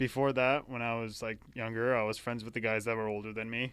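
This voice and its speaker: Male speaker, very clean recording, silent background. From eastern Washington, US. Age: 20s. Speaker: college student. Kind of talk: casual chat.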